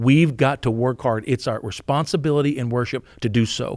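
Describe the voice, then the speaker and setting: A man with an American accent talks at medium pitch and a fairly quick pace in an animated tone. The very clean recording has a silent background and a dry, close sound with no echo. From Pennsylvania, West Virginia family. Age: 50s. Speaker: university president. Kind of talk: podcast interview. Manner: repeats words.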